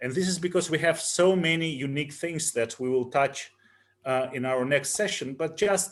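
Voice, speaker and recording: With a Russian accent, a man speaks at a fairly high pitch. His pace is moderate and his pitch variation ordinary. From Russia (Moscow). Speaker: physician and clinical research head. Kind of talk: panel discussion. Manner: halting, many fillers.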